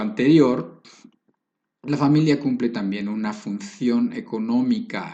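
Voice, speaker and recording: Audible room echo surrounds a man with a dark, mellow tone who speaks at medium pitch with lively intonation. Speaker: preacher. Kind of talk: sermon.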